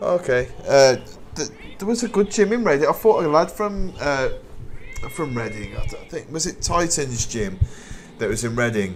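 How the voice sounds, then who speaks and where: Amid noticeable background noise, a man talks at a moderate pace with very wide pitch swings and long, frequent pauses. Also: fairly high pitch for a man. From West Midlands, England (Wolverhampton). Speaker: Muay Thai fighter and coach, live streamer. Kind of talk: casual live-stream commentary and chat. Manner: hesitant, many repetitions and fillers.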